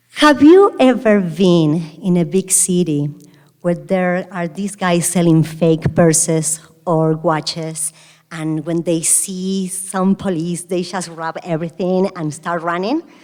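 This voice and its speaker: Very slow pace with fairly even intonation. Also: woman, fairly low pitch for a woman. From Argentina, Buenos Aires. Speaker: restaurant founder and CEO. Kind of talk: keynote speech. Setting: stage with audience.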